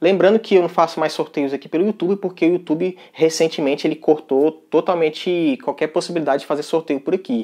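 This man's dark, mellow voice sits at a fairly high pitch, with ordinary pitch variation. He speaks at a fairly quick pace with hardly any pauses against a quiet background. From Brazil. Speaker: tech youtuber. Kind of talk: tutorial. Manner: casual, conversational. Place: home room. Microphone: lapel.

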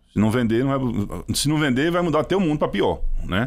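With vocal fry, a man's fairly high voice swings very widely in pitch over a quiet background. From Brazil, Pernambuco sertão. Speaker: startup CEO; podcast guest. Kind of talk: interview. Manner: calm. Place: studio. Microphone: studio mic.

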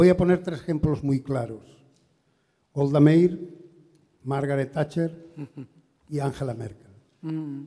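A man with a dark, mellow tone and a fairly high pitch talks at a fairly slow pace, leaving long, frequent pauses. His intonation stays fairly even while his loudness swings a lot, over a quiet background. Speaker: audience member. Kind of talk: audience question at seminar. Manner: halting. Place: hall. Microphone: handheld.

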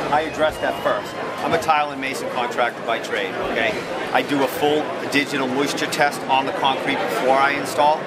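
Loud background noise accompanies a man who speaks at a fairly quick pace. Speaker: flooring contractor at booth. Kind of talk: sales explanation to visitors. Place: hall. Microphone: camera far.

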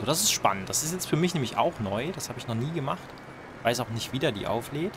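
Over noticeable background noise, a man talks at a very fast pace. His pitch sits in the middle range yet swings very widely. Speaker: gaming video creator. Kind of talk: let's play gameplay commentary. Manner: casual, hesitant with repetitions.

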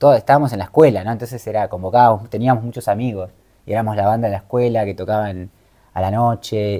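A man's dark, mellow tone comes through against a quiet background. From Argentina, Moreno, Buenos Aires province; Buenos Aires province, Argentina. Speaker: travel content creator and life coach; travel content creator, life coach. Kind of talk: interview. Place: home room.

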